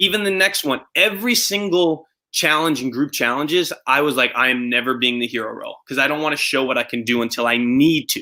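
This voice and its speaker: A man's fairly high voice, bright and sharp in tone, with lively intonation, a fairly quick pace and hardly any pauses. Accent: Long Island. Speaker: reality show winner. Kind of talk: casual chat.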